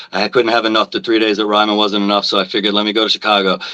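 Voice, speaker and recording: The speaker is a man. He has a Long Island accent. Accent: New York, Long Island. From New York, Long Island. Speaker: music fan. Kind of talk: casual chat. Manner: loud.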